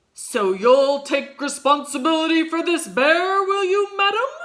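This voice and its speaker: Putting on a character voice, a woman speaks at an extremely high pitch and a moderate pace, her pitch swinging very widely. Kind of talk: bedtime story. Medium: read story. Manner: loud, shouting.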